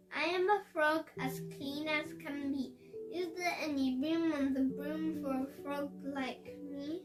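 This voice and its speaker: A put-on character voice, high in pitch, at a fairly slow pace, over clear background noise. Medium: read story.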